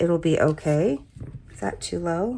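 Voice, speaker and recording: A woman speaks at a moderate pace in a fairly low pitch. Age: 50s. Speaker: planner hobby vlogger. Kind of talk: casual craft tutorial chat. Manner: casual, hesitant with fillers.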